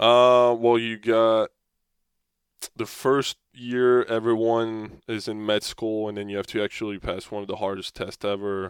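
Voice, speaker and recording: In a French accent, a man speaks with fairly low pitch and monotone, flat intonation. The recording is very clean, with a silent background and a dry, close sound with no echo. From France. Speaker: professional hockey player. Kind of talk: interview. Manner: halting.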